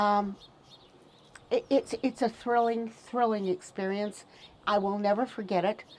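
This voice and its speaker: Using a monotone, flat intonation at medium pitch, a woman speaks fairly slowly with long, frequent pauses and very even loudness. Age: 70s. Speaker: Tesla enthusiast and community member. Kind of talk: casual interview chat. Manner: halting, many fillers and repeats.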